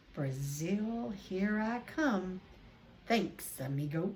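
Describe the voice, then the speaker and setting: A woman uses a put-on character voice at a medium pitch, speaking at a very slow pace. Clear background noise can be heard behind her. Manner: casual, cheeky.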